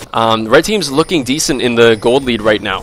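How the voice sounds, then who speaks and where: With music in the background, a man speaks at medium pitch with ordinary pitch variation. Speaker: gaming commentator. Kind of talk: esports game commentary. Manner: casual, talkative.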